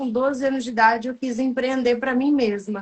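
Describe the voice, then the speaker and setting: Speaking at a moderate pace, a woman with a high pitch keeps a monotone, flat intonation. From rural interior of São Paulo state, Brazil. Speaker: entrepreneur and coach. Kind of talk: interview. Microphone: far from the mic, sounds quiet.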